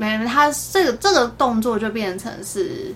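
A woman speaks with a plain, everyday voice at a fairly slow pace. Her fairly high pitch carries lively intonation. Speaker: pharmacist. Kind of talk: casual chat.

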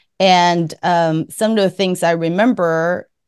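A woman with a Taiwanese accent at medium pitch and a very slow pace, the sound dry and close with no echo, the background quiet. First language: Mandarin. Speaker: podcast host, MBTI content creator. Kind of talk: interview.

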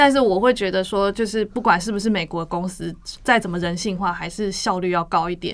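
A woman's normal speaking voice, medium in pitch with ordinary pitch variation, at a fairly quick pace. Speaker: graphic designer. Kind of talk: casual chat.

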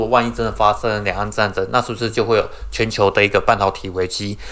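Very fast speech comes from a man with a Taiwanese accent. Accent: Taiwanese Mandarin. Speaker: podcast co-host. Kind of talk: casual chat.

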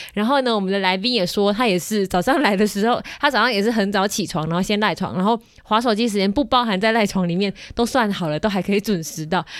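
Very rapid speech from a woman, medium in pitch. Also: ordinary pitch variation. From Kaohsiung, Taiwan. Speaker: podcast host. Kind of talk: casual chat. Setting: studio.

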